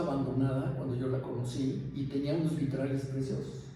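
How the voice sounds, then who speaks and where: At a moderate pace, the voice comes through with audible room echo and noticeable background noise. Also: man. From Mexico City (Mixcoac, colonia San Juan). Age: 70s. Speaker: longtime resident interviewed for oral history. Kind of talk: oral history testimony. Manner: halting, with many fillers.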